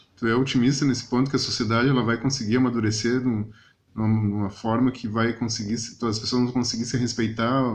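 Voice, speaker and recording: At a fairly quick pace, a man with medium pitch speaks in a monotone, flat way. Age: younger than 62. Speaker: podcast host. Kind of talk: casual interview chat.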